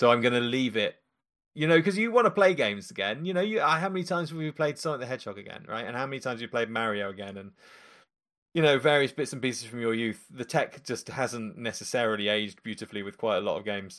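A man talks at a very fast pace, his intonation lively and his loudness swinging widely. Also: medium pitch for a man, very clean recording, silent background. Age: 40s. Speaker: indie game developer. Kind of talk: casual chat.

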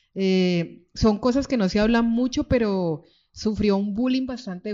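A woman speaks fairly slowly with ordinary pitch variation. She has a normal speaking voice. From Colombia, Cali (born Pereira, moved at six). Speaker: writer. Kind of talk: book presentation talk. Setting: stage with audience.

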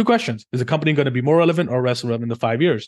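A man speaks very fast in a medium pitch with ordinary pitch variation. The background is quiet. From India. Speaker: trading company founder. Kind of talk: interview.

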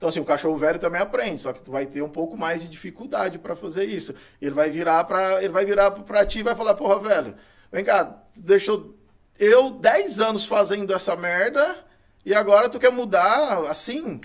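A man with a high voice speaks at a fairly quick pace, his intonation lively and his loudness swinging widely. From Brazil, Goiás (Itumbiara). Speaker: dog trainer. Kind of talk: casual interview chat. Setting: studio. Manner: hesitant, filler-heavy.

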